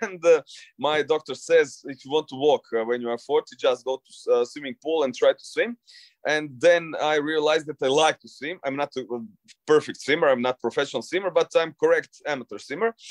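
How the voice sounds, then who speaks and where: A man with a Croatian accent, fairly high in pitch, at a fairly quick pace, with ordinary pitch variation, big swings in loudness, dry, close sound with no echo, and a quiet background. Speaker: long-distance swimmer. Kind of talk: interview. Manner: halting.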